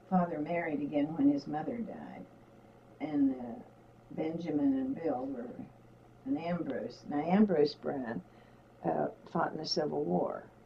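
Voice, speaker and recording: A woman speaks with a very deep, low pitch and lively intonation, at a fairly slow pace with long, frequent pauses. Noticeable background noise is present. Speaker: interviewee recounting her life. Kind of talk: interview answer, recalling personal history.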